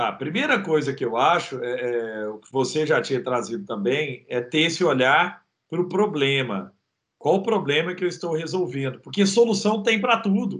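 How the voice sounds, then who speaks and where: Speaking at a moderate pace, a man with a fairly high pitch shows very wide pitch swings and big swings in loudness. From Brazil, Minas Gerais (Triângulo Mineiro, Araguari). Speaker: entrepreneur. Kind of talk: interview. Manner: animated.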